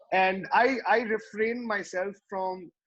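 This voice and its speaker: A man speaks with a Tamil accent. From West Bengal, India (Tamil family). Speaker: rapper. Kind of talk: interview. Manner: halting, many fillers.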